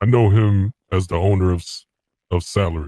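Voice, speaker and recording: At a moderate pace, a man uses a put-on character voice with very deep, low pitch. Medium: machinima. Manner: plain, brief.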